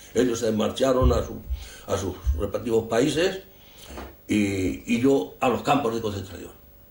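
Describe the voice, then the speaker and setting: Leaving long, frequent pauses, a man speaks fairly slowly at a medium pitch with lively intonation, and room echo is audible. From Spain. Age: 80s+. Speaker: war veteran. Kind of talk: interview testimony. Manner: halting, repetitive.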